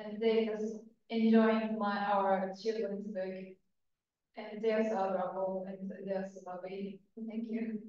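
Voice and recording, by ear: Strong room echo surrounds a woman speaking at a fairly slow pace and medium pitch, her tone dark and mellow, with little pitch movement.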